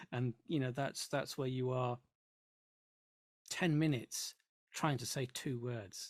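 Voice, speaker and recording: Somewhat breathy and medium in pitch, a man speaks at a fairly slow pace with fairly even intonation. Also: dry, close sound with no echo. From northern England, Yorkshire. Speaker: 3D modeling tutorial creator. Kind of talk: casual chat.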